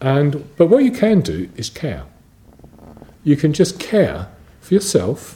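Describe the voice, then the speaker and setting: A man is talking. His pace is moderate. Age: 60s. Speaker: ordained Buddhist. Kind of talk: dharma talk. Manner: halting.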